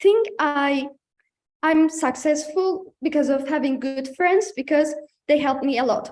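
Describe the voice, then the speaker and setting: High in pitch, a woman speaks with ordinary pitch variation. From Turkey. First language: Turkish. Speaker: student panelist. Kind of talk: panel presentation. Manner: halting.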